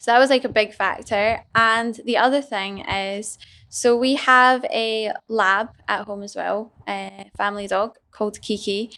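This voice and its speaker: With a slight Scottish accent and a bright, sharp tone, a woman speaks at a fairly high pitch with hardly any pauses, fairly even intonation and big swings in loudness, on a very clean recording with a silent background. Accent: Scottish, mild. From Scotland. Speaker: business owner. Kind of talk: casual chat.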